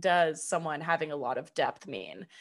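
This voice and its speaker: Over a quiet background, a woman uses an ordinary speaking voice with fairly low pitch at a moderate pace. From California, near Sacramento. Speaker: podcast co-host. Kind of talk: casual chat.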